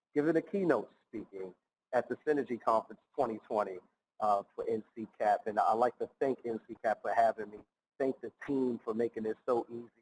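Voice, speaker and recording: Someone talks at a fairly quick pace with a New York accent. The sound is dry and close, with no echo. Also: man, medium pitch for a man, ordinary pitch variation. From New York City (Bronx). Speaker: nonprofit founder and keynote speaker. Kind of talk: keynote speech. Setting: recorded for virtual conference.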